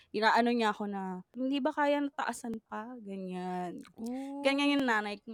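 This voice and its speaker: The speech runs fairly slowly with hardly any pauses, ordinary pitch variation and big swings in loudness, in a dry, close sound with no echo. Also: woman, fairly high pitch for a woman. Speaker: podcast co-host. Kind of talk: casual chat. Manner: animated. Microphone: new microphone.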